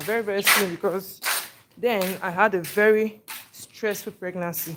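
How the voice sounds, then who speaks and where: A woman's medium-pitched voice with a Nigerian accent, ordinary pitch variation and a moderate pace. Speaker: vlogger. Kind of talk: casual chat.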